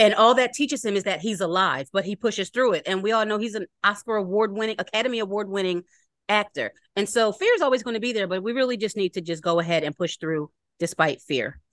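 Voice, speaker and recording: Talking at a very fast pace with a Philadelphia accent, a woman uses a medium pitch and ordinary pitch variation in a dry, close sound with no echo. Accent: Philadelphia American English. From Philadelphia, US. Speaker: podcast host. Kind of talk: casual interview chat.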